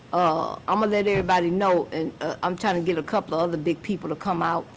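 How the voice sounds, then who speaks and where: Very fast and in a monotone, flat intonation, a woman speaks at a fairly low pitch. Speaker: music industry manager. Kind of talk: podcast interview. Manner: casual, filler-heavy.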